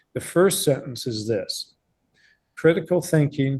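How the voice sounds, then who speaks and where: A man speaks with a somewhat breathy voice and a dark, mellow tone. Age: 70s. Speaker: professor. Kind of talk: lecture. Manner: halting.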